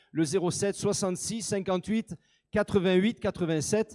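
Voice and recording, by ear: A high-pitched male voice with a slightly mellow tone and ordinary pitch variation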